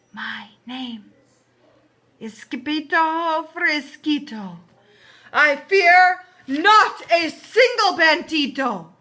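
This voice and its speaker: A woman's put-on character voice at an extremely high pitch, very slow, with long, frequent pauses. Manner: timid.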